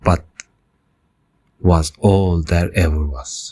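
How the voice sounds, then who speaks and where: Very deep and low, this man's voice is somewhat breathy with a calm tone. His pitch variation is ordinary. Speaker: podcast host, city planner. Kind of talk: scripted narration. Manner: calm, measured storytelling.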